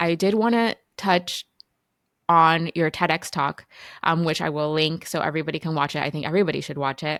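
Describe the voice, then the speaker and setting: A woman with a plain, everyday voice speaks at a fairly low pitch with fairly even intonation on a very clean recording with a silent background. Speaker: physician, podcast host. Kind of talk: podcast interview questions.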